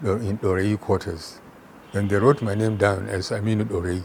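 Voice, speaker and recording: Somewhat breathy, a man with a northern Nigerian accent talks at a moderate pace in a fairly low pitch with fairly even intonation. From Nigeria, Kano. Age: 80s+. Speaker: retired chemistry professor. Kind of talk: interview.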